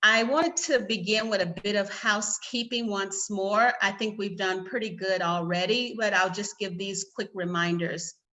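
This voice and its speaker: With a Southern US accent and a medium pitch, a woman talks with hardly any pauses. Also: ordinary pitch variation, moderate pace. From US South. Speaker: panel moderator, lawyers' organization staff. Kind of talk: conference moderation. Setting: video call.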